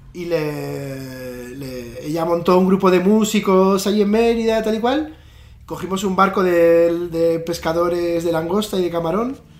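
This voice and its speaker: With a Spanish accent, a man with a high voice and ordinary pitch variation talks at a fairly slow pace amid noticeable background noise and audible room echo. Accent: Spanish (Spain). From northern Spain, Pamplona. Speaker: visual artist. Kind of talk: casual interview. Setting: video call.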